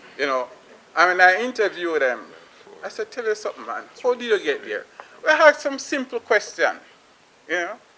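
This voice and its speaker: Someone with a Jamaican accent talks at a fairly quick pace with very wide pitch swings, over noticeable background noise. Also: man. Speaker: plumbing business owner. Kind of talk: panel discussion remarks.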